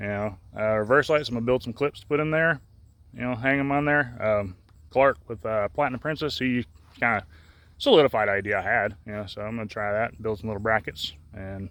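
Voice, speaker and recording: A man at a medium pitch and fairly quick pace, with ordinary pitch variation, long, frequent pauses and a quiet background. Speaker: lowrider car hobbyist vlogger. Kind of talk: casual vlog talk. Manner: halting, filler-heavy.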